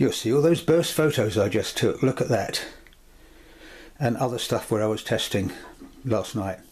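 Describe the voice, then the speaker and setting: A man talks at a moderate pace and medium pitch, somewhat breathy. His intonation is lively, broken by long, frequent pauses. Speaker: camera reviewer. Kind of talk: tutorial.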